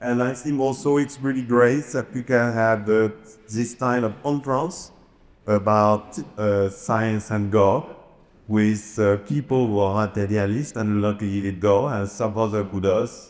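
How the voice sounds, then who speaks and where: A man in a French accent, fairly low in pitch, with ordinary pitch variation and a fairly slow pace. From France. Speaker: author and speaker. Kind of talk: conference presentation. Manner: halting, frequent uhs.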